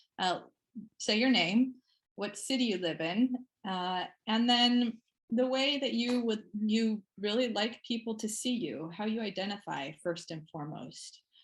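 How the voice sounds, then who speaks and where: Lively intonation runs through this fairly slow delivery, which is somewhat breathy. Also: woman, fairly high pitch for a woman. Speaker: meeting facilitator. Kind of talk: online meeting facilitation.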